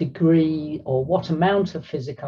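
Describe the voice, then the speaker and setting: A somewhat breathy woman with ordinary pitch variation, over a quiet background. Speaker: panelist. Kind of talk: webinar presentation. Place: home room. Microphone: webcam.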